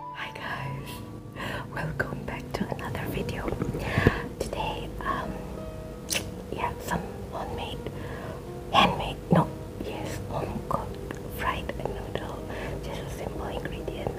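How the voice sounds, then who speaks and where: A woman at a very slow pace, with long, frequent pauses and loud background noise. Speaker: ASMR eating video host. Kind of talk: casual talk to camera. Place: home room.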